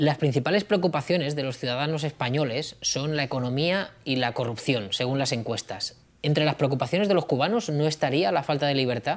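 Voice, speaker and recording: With hardly any pauses, a man talks at a fairly quick pace and a fairly high pitch, with ordinary pitch variation. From Spain. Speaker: interviewer. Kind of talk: interview. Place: home room.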